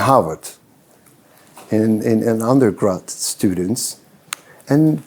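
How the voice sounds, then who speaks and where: A man speaks with a Turkish accent. His pitch swings very widely. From Turkey (Ankara). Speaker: business consultant and speaker. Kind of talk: event talk to students. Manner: halting, many fillers and repetitions.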